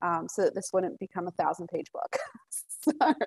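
With an American accent, a woman speaks at a moderate pace in a dry, close sound with no echo. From Colorado, US. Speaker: author. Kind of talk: interview. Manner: hesitant, many fillers.

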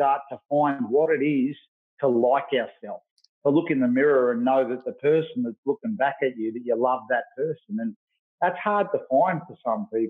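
At a moderate pace, a man in an Australian accent speaks with a fairly high pitch. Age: 40s. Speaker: youth worker and fitness trainer. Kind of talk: interview. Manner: animated.

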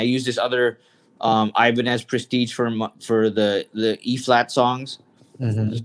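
This man has an unremarkable speaking voice. His pitch sits in the medium range. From Canada, Toronto. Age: 50s. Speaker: music magazine publisher and concert promoter. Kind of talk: casual chat. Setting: video call.

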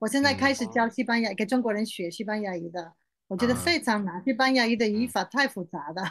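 Speaking very fast at a fairly high pitch, a woman sounds animated, her intonation lively. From Spain. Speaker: Chinese-Spanish language teacher. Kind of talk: interview.

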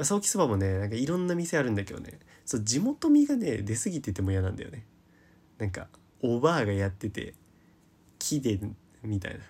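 A man with a medium pitch talks at a fairly quick pace, somewhat breathy and with very wide pitch swings. He leaves long, frequent pauses. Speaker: podcast host. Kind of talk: solo casual talk. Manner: rambling long-form talk.

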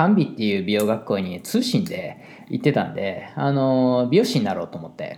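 In a Kansai accent, a man talks at a fairly quick pace with vocal fry and very wide pitch swings. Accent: Kansai dialect Japanese. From Japan, Osaka (Kansai). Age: 40s. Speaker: hairdresser and salon owner. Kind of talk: casual solo monologue.

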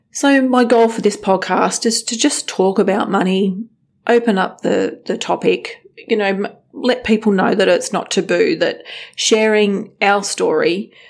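Someone speaks at a fairly slow pace in an Australian accent. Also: woman. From western Sydney, Australia. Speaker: podcast host, financial planning business owner. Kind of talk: casual monologue.

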